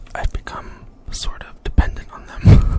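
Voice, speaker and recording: A whisper moves at a moderate pace while noticeable background noise is heard. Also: man. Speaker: gamer, ASMR creator. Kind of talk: ASMR intro talk to camera. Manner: whispered.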